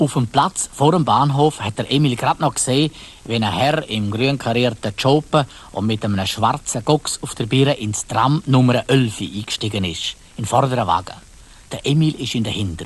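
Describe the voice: At a medium pitch, the man talks with ordinary pitch variation. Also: moderate pace.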